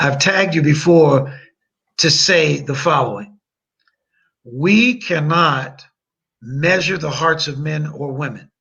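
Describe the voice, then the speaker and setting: Very slow speech in an American accent with ordinary pitch variation and long, frequent pauses, carrying audible room echo. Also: man, fairly high pitch for a man. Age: 60s. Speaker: attorney. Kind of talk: podcast interview. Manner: long-winded.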